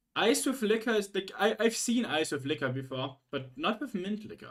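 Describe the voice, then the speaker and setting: Speaking at a moderate pace with a German accent, a man uses a high pitch that swings very widely. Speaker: streamer. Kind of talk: casual chat. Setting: livestream. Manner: halting.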